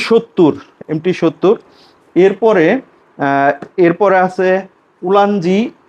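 This is a man speaking. His voice has ordinary pitch variation. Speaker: gadget vlogger. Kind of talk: casual product showcase. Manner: halting.

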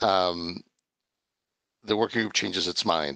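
A man is speaking. He goes at a moderate pace with ordinary pitch variation. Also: quiet background, dry sound with no echo. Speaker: meeting participant. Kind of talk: technical discussion. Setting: video call. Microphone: video call.

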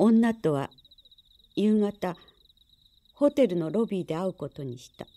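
A soft-spoken woman with a dark, mellow tone talks calmly at a fairly slow pace, leaving long, frequent pauses. Her pitch swings very widely and her loudness shifts greatly. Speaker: narrator. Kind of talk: reading aloud a literary short story, audiobook-style narration. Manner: calm, measured and even-paced, with a soft narrative tone. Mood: calm, measured. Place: studio. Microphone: studio mic.

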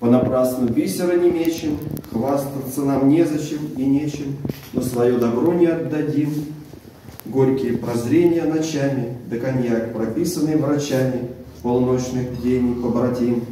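Very slow, fairly even speech from a man at medium pitch, with audible room echo and light background noise. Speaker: poet. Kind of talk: poetry reading. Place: meeting room. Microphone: camera far.

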